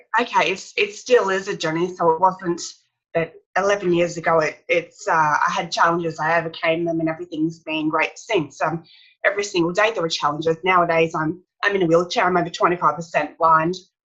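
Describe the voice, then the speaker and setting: Fairly quick in pace, a woman speaks in an Australian accent. Her pitch is fairly low and her intonation fairly even. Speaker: author and speaker. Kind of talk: interview. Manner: slightly impaired speech after brain injury.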